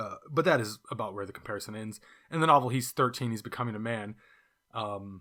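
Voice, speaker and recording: A man with a fairly low pitch, a bright, sharp tone and ordinary pitch variation speaks with a Californian accent in a very clean recording with a silent background. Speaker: podcast host, book reviewer. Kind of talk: casual book review monologue. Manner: casual, hesitant with fillers.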